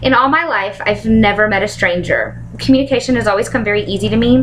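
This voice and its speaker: Noticeable background noise sits behind the recording. A woman talks at a very fast pace. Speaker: college student. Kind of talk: class presentation speech.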